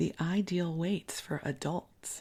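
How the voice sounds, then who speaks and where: A woman with an American accent speaks fairly slowly in a dark, mellow tone marked by vocal fry. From US Midwest, Chicago. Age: 60s. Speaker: podcast host, spiritual teacher. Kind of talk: bedtime podcast storytime, casual reminiscence. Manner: soft-spoken; conversational.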